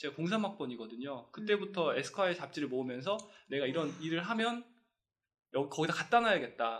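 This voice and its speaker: A man's fairly high voice, very fast, with very wide pitch swings. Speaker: fashion brand owner, podcast host. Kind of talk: casual chat. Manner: talkative, fast.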